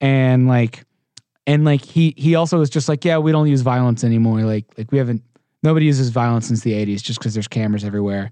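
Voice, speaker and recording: Over a quiet background, the speaker's dark, mellow tone moves at a very fast pace with ordinary pitch variation, in a dry, close sound with no echo. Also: man, medium pitch for a man. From Texas, Houston. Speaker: documentary producer. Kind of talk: casual interview.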